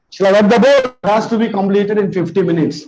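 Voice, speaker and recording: In a Telugu accent, a man speaks with a high pitch and ordinary pitch variation. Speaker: biology teacher. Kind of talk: lecture.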